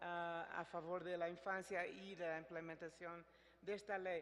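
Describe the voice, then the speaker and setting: A woman with a Portuguese accent speaks at a moderate pace. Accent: Portuguese-tinged Spanish. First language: Portuguese (speaking Spanish). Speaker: international agency representative. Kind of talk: closing remarks at a public forum.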